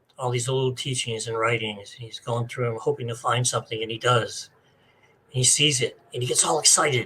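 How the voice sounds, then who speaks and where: A man talks at a fairly quick pace with fairly even intonation. There is noticeable background noise. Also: medium pitch for a man. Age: 70s. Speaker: spiritual author. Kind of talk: interview. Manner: casual, hesitant with many fillers.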